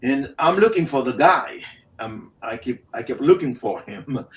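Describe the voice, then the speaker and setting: Very wide pitch swings in a Haitian accent. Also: man. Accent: Haitian accent, sing-song cadence. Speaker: motivational speaker. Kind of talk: interview storytelling.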